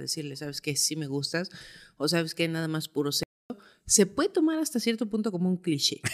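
A woman with a normal speaking voice and a fairly low pitch is heard in a very clean recording against a silent background. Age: 30s. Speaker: physical anthropologist. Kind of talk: casual chat.

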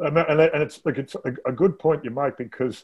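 A man's voice with an Australian accent, a moderate pace and ordinary pitch variation. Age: 60s. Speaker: interviewer host. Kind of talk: casual interview.

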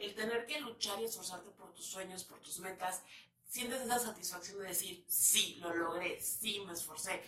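A woman speaks at a moderate pace with a medium pitch and ordinary pitch variation. Her tone is bright and sharp, and there is audible room echo. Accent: central Mexican. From León, Guanajuato, Mexico. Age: 30s. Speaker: podcast host. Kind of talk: casual monologue to viewers. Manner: chatty, filler-heavy.

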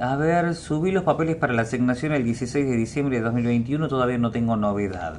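A man talks at a moderate pace with hardly any pauses and lively intonation. His medium pitch belongs to a normal speaking voice. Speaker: radio host. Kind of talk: reading listener messages aloud. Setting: radio studio.

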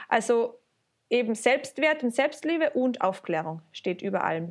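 A woman's high voice rises and falls with lively intonation as she talks at a moderate pace. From Austria, Carinthia. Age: 20s. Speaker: student teacher and vulva sculptor. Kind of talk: casual interview.

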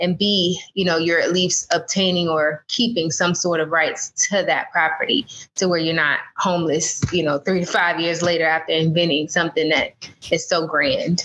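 A woman with an American accent speaks in a normal speaking voice, fairly low in pitch, at a moderate pace, with fairly even intonation and very even loudness. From US South, Jacksonville, Florida. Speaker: trademark lawyer. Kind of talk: interview.

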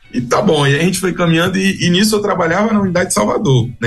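Music plays behind a man. He speaks very fast, his pitch swinging very widely. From Bahia, Brazil (Alagoinhas). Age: 20s. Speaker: missionary, manager of a rehab mission. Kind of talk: radio interview.

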